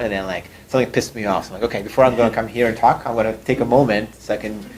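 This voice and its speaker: A man with a Russian accent and fairly even intonation. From Russia, moved to Canada at fifteen. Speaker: startup CEO. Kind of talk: interview talk. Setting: room with audience.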